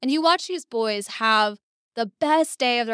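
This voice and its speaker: Recorded very cleanly against a silent background, a woman with a fairly high pitch and an American accent speaks with lively intonation in a dry, close sound with no echo. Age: 30s. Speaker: tech entrepreneur and marketing executive. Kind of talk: casual interview.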